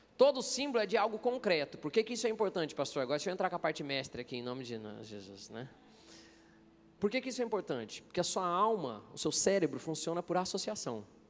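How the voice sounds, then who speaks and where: A man's high voice at a very fast pace, with very wide pitch swings. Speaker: preacher and interpreter. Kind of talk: sermon. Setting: stage with audience at a conference.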